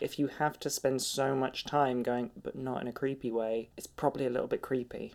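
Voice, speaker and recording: A man with a British accent and medium pitch speaks at a fairly quick pace in a monotone, flat intonation, with hardly any pauses. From UK. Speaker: podcast co-host. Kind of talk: casual chat.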